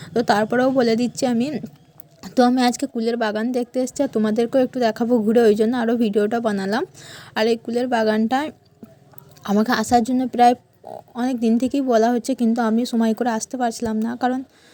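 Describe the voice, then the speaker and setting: A woman speaks in a fairly high pitch with monotone, flat intonation. Noticeable background noise is present. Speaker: lifestyle vlogger. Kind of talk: vlog voice-over narration.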